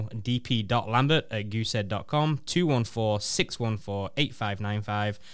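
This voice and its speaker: A man uses a plain, everyday voice at a moderate pace, captured on a very clean recording with a silent background. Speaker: radio co-host. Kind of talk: live radio talk show.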